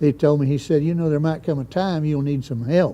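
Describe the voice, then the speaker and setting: Here a man speaks with a southeastern Missouri accent. His fairly high pitch shows ordinary variation, and his tone is dark and mellow. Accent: southern Midwestern US (Missouri Bootheel). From southeast Missouri. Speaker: Vietnam veteran helicopter pilot. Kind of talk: oral history interview. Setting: museum. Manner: hesitant, many fillers.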